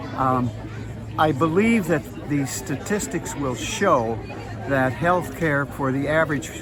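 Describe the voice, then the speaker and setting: A fairly slow pace, with music in the background and audible room echo. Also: man. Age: 80s+. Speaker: music professor and conductor. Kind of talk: street interview. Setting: outdoors at a farmers market. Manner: hesitant, many fillers.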